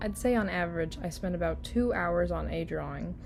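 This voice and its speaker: A woman's voice with audible room echo. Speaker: digital artist and channel creator. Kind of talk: voiceover narration over speed paint. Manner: low-energy, unenthusiastic.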